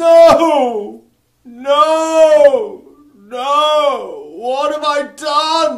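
This is a put-on character voice pitched high. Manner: anguished, howling.

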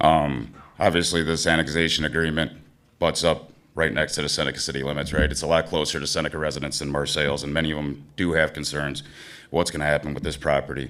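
The man's pitch is very deep and low, with vocal fry. He talks at a very fast pace in a monotone, flat intonation. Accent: American. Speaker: small-town mayor. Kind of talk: public hearing comment.

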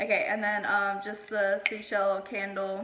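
A woman at medium pitch is heard with noticeable background noise. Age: 20s. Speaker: YouTuber. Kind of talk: casual vlog chat. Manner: halting.

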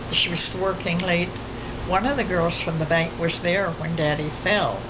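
A woman talks at a fairly slow pace. Background noise is noticeable. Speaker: elderly family member. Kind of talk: interview answer. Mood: reflective, somber recollection. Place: home room.

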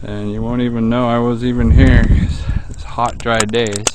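The man's voice sounds dry with no echo, though loud background noise fills the recording. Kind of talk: casual vlog chat. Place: open country. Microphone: phone near.

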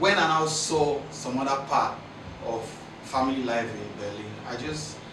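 Delivered at a fairly slow pace, the speech carries audible room echo and noticeable background noise. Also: man. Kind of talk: interview answer. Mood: reflective, animated. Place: studio.

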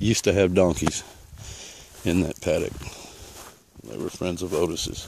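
A man's very deep, low voice at a moderate pace, ordinary pitch variation, long, frequent pauses and big swings in loudness, dry with no echo over noticeable background noise. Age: 50s. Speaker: landowner planning a permaculture design. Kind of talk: walking property tour narration. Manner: casual, hesitant with fillers. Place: open country. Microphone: phone near.

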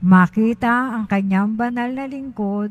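A woman with a fairly high pitch speaks at a very slow pace in a somewhat breathy voice. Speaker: lector. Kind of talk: reading aloud. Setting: church.

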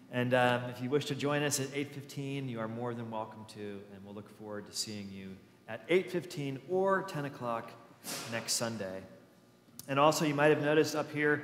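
A man speaks at a moderate pace. Room echo can be heard. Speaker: pastor. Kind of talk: church announcements. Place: church.

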